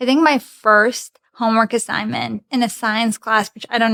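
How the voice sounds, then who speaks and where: A woman with a Russian accent speaks at a moderate pace in a fairly high pitch, her intonation monotone and flat. The sound is dry and close, with no echo. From Belarus, near Polish and Lithuanian border. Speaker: commercial manager. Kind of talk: interview podcast chat. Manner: conversational.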